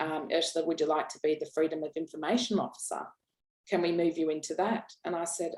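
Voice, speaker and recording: A woman with an Australian accent speaks very fast in a fairly low pitch, her intonation fairly even. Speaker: founder of an executive assistant training business. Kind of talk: podcast interview. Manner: loud; hesitant, many repeated words.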